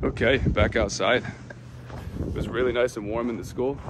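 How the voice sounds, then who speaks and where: Noticeable background noise surrounds the recording. A man speaks at a medium pitch with an American accent. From upstate New York. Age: 30s. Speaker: travel vlogger. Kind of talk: vlog narration. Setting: outdoors. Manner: animated.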